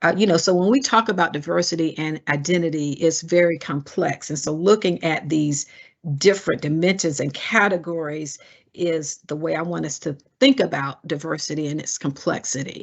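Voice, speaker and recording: The speaker has a Southern US accent and ordinary pitch variation. The pace is moderate. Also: woman, fairly low pitch for a woman. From US South. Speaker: diversity educator. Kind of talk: webinar presentation. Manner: frequent hesitations.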